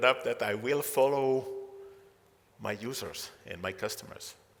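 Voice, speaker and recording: A man speaks against noticeable background noise. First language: not English. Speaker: entrepreneur and keynote speaker. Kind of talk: keynote talk. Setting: stage with audience. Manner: halting, many fillers.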